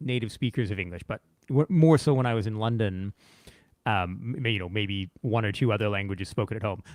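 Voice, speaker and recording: A man with a Canadian accent has an ordinary speaking voice, pitched fairly low with ordinary variation. The sound is dry and close, with no echo. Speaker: teacher and show host. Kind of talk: casual chat. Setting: live stream.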